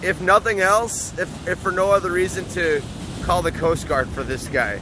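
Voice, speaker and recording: A man with an American accent at a fairly slow pace, against noticeable background noise. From US Midwest (Upper Peninsula, Michigan). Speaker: podcast host. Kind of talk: casual interview. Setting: outdoors.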